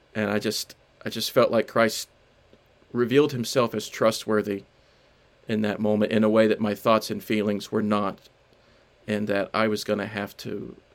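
A fairly low-pitched man speaks in a flat monotone at a moderate pace, leaving long, frequent pauses. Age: 30s. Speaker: writer and street pastor. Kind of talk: interview about his book. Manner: halting, many fillers and repetitions.

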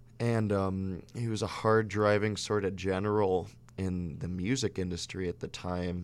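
A man's unremarkable speaking voice, fairly low in pitch, fairly slow, with fairly even intonation. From Chicago. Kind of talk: casual interview chat.

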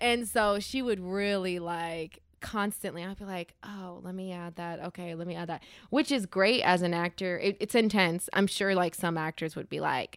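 Moderate pace in an American accent, fairly even intonation and big swings in loudness, on a very clean recording with a silent background. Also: woman. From US, Denver area, Colorado. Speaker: actress. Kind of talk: casual chat.

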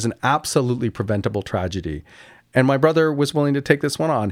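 On a very clean recording with a silent background, a man with a Canadian accent talks at a very fast pace with lively intonation. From Canada, Kingston, Ontario. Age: 60s. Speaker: architect. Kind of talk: interview conversation. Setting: studio.

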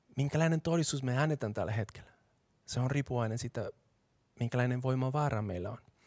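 A man with a Colombian accent speaks at a very fast pace in a medium-pitched voice with ordinary pitch variation, recorded dry and close with no echo in a very clean recording with a silent background. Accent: Colombian Spanish accent in Finnish. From Colombia, Bogotá. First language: Spanish (speaking Finnish). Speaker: pastor. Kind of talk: sermon.

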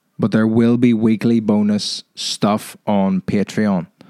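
An Irish-accented man's medium-pitched voice, dark and mellow in tone, with a dry, close sound and no echo. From Ireland. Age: 20s. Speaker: podcast host and stand-up comedian. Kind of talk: solo podcast monologue. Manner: casual, hesitant with many fillers.

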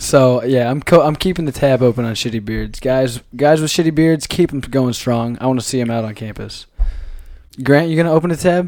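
A man's medium-pitched, fairly quick delivery with ordinary pitch variation, a plain, everyday voice. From Iowa. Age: 20s. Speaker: college student podcast co-host. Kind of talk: casual chat.

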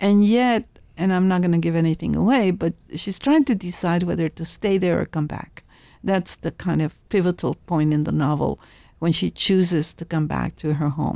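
A woman with an American accent speaks at a fairly low pitch in a warm, dark, mellow tone. The recording is very clean and silent behind her, with a dry, close sound and no echo. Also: ordinary pitch variation, moderate pace. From Laredo, Texas. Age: 70s. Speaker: professor, writer and folklorist. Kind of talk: interview. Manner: warm, laughs often.

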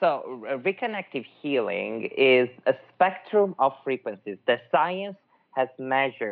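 With an Italian accent, a man speaks at a very slow pace and a fairly high pitch, his voice making very wide pitch swings. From Italy, Milan. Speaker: energy healing practitioner. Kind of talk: interview conversation.

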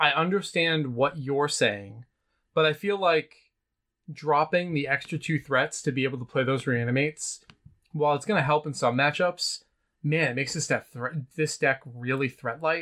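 A man with a bright, sharp tone speaks at a moderate pace in a fairly high pitch, with ordinary pitch variation. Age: over 21. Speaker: podcast co-host. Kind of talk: casual chat. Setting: in the same room as co-host.

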